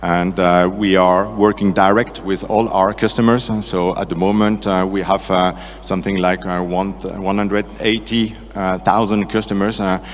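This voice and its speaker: Over noticeable background noise, a man with a French accent speaks at a moderate pace in a fairly low, monotone, flat delivery. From France. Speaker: sales and marketing director. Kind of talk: conference talk. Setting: stage with audience. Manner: hesitant, many fillers.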